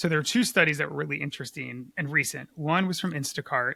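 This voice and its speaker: A man with an American accent speaks at a fairly high pitch, his tone bright and sharp with vocal fry. The recording is very clean with a silent background, dry and close with no echo. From US, Philadelphia. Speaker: podcast co-host. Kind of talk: casual podcast chat, reading from notes.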